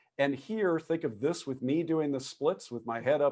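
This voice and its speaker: A normal speaking voice with ordinary pitch variation comes through a very clean recording with a silent background. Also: man. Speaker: structural engineering lecturer. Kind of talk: lecture.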